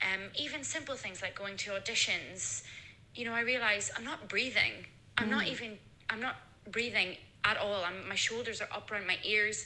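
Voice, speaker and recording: In a fairly high voice with ordinary pitch variation, a woman talks at a moderate speed as noticeable background noise carries on. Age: 30s. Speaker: musical theatre performer. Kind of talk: voicemail testimony.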